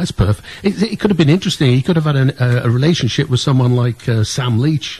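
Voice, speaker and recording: A man talks at a very fast pace with very even loudness. His intonation is lively. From north-east Wales near Liverpool. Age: 70. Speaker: radio co-host. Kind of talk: radio interview. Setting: studio. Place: studio.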